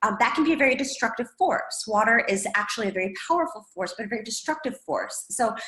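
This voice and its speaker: Noticeable background noise fills the recording. Through it, a woman talks with lively intonation. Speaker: yoga instructor. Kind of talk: interview, explaining advice.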